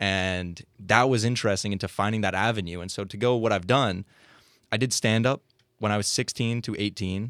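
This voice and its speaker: On a very clean recording with a silent background, a man speaks at a fairly quick pace in a normal speaking voice, fairly low in pitch with fairly even intonation. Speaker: student filmmaker and comedy writer. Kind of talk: casual interview.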